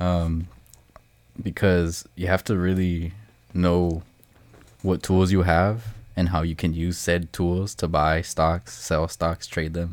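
On a very clean recording with a silent background, a man with a very deep, low pitch speaks very slowly in a monotone, flat way, with long, frequent pauses. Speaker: podcast guest. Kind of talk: casual chat. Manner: laid-back, halting with fillers.

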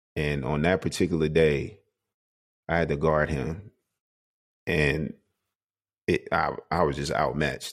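With an American accent, a man speaks very deep and low with vocal fry, at a fairly slow pace, with fairly even intonation and long, frequent pauses. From South Carolina. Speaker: former pro basketball player and coach. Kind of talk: casual interview.

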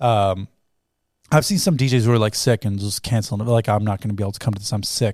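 In a Canadian accent, a man with a fairly low pitch talks at a very fast pace in an animated tone, with a dry, close sound and no echo. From Toronto, Canada. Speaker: DJ and music producer. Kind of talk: casual chat.

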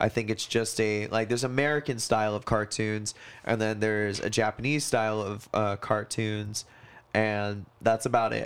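On a very clean recording with a silent background, a man speaks in a monotone, flat intonation at a moderate pace. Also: fairly low pitch for a man. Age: 20s. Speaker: podcast co-host. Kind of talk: casual chat.

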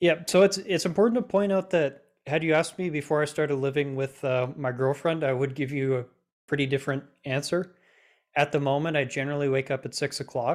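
This man has an ordinary speaking voice, fairly high in pitch with ordinary variation. He talks at a fairly quick pace on a very clean recording with a silent background. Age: 20s. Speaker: self-taught Android developer and teacher. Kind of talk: interview.

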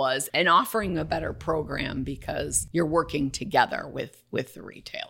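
A bright, sharp tone with lively intonation. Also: woman. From Wisconsin (Waukesha, near Milwaukee). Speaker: business development executive, former manufacturer. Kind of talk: casual interview.

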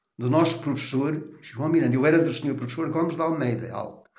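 A man's fairly high-pitched voice with ordinary pitch variation and audible room echo. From Portugal, Canas de Senhorim (Viseu district). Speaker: tailor. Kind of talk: oral history interview.

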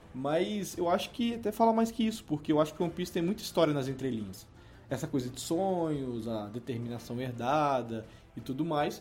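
A man speaks at a fairly quick pace in a fairly high pitch, with very wide swings in his pitch. Music plays in the background. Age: 20s. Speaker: podcast co-host. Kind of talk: casual chat.

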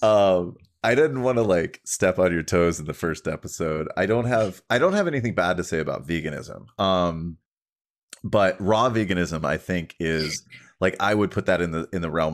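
In a very clean recording with a silent background, a man speaks at a moderate pace with a very deep, low pitch. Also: ordinary pitch variation. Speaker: fitness coach and podcast co-host. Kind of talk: casual chat. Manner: many fillers and self-repeats; long-winded.

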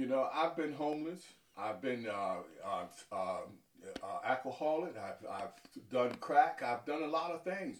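A man with an American accent, fairly high pitch and a moderate pace. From New York City (Harlem). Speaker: deacon and traveling minister. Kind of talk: testimony. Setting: on location interview.

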